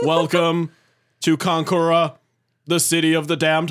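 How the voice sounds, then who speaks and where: A man's put-on robotic character voice, high in pitch, monotone and flat, at a moderate pace, in a very clean recording with a silent background. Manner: mechanical, menacing, announces emotions.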